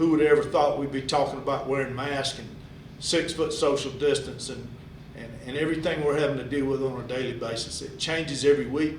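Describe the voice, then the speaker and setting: Against noticeable background noise and audible room echo, a man talks at a fairly quick pace with big swings in loudness. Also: fairly even intonation. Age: 60s. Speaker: high school athletic director. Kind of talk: address to parents.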